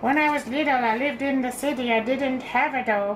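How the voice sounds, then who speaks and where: A woman speaks at a fairly quick pace in a high pitch with very even loudness. Clear background noise is audible. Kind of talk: bedtime story. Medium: read story. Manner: gentle, measured reading.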